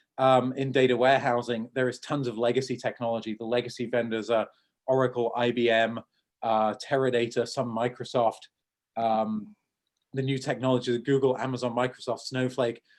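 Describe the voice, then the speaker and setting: A man with a southern English accent talks at a fairly quick pace in a flat, monotone way. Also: medium pitch for a man. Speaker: tech entrepreneur. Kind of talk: Q&A after a talk. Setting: video call. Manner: fast.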